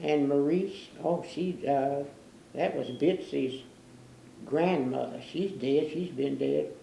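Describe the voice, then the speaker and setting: In a very deep, low pitch with a dark, mellow tone and vocal fry, a woman speaks with an American accent. Her pace is very slow, with long, frequent pauses and audible room echo. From Newport, Kentucky. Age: 90s. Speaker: oral history interviewee. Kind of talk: oral history interview. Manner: halting.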